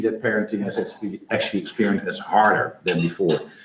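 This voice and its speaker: A man with a Dutch accent talking at a very fast pace. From Netherlands. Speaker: startup founder. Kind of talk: pitch presentation. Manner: hesitant, many fillers.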